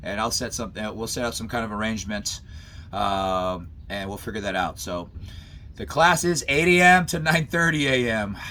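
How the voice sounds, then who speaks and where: An energetic man speaks at medium pitch in a bright, sharp tone, his pitch swinging very widely. Room echo is audible. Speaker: college professor and self-defense instructor. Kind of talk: online class lecture. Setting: video call. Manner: fast, energetic; casual, halting with repetitions.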